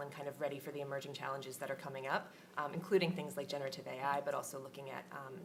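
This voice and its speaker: A woman speaks with fairly even intonation. The room echo is audible, and background noise is noticeable. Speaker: government regulatory policy manager. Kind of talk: conference panel discussion. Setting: conference stage with audience.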